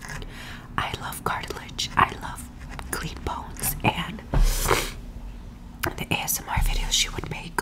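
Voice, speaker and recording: Someone is whispering at a fairly slow pace. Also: woman. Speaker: ASMR creator. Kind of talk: ASMR eating ramble. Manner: whispered. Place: kitchen. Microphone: studio mic.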